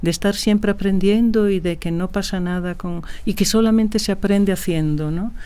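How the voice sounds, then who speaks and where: A woman's medium-pitched voice with a dark, mellow tone. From Galicia, Spain (Ferrol). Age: 60s. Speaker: film producer and director. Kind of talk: interview conversation. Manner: hesitant, with frequent fillers and repetitions.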